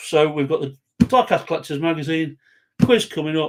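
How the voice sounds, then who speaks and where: Recorded very cleanly over a silent background, a man with a fairly high pitch talks at a fairly quick pace in a normal speaking voice. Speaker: show host. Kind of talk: casual chat.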